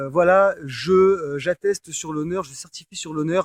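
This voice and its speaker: Fairly slow and monotone, a man speaks at a high pitch in a dry, close sound with no echo. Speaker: personal development coach. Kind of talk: coaching talk, explaining affirmations to the audience. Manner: hesitant, many filler words, conversational.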